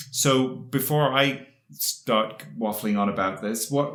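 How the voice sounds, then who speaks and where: With audible room echo, a man talks at a medium pitch. His intonation is lively. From England. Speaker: podcast co-host. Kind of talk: casual chat.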